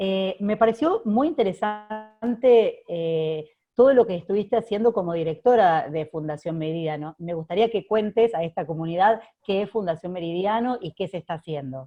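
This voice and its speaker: A woman speaks in a Rioplatense accent at medium pitch. Her intonation is lively and her pace moderate. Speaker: research center director and host. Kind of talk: interview. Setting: video call.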